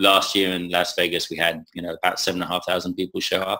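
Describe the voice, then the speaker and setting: A man with an English accent, bright and sharp in tone, at a fairly quick pace in a very clean recording with a silent background. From England. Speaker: conference communications head. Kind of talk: interview. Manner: halting, many fillers and repetitions.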